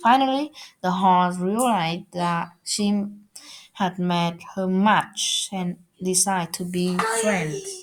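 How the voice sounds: At a slow pace, a woman speaks with a fairly low pitch. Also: ordinary pitch variation.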